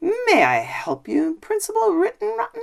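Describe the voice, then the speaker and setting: A woman's squeaky, put-on character voice, extremely high in pitch, with very wide pitch swings at a moderate pace. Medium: read story. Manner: calm, assured.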